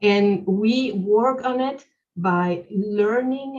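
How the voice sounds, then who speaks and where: A woman talks with a non-native accent. Her pitch sits in the medium range. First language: not English. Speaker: webinar speaker. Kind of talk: webinar Q&A answer. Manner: halting, many fillers.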